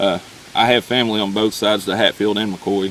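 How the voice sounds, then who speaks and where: Amid noticeable background noise, a man talks at a moderate pace. His fairly low voice has monotone, flat intonation. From Eastern Kentucky (Pikeville), Appalachia. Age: 30s. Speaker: coal miner. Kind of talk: casual vlog narration. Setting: outdoors, at an old mine.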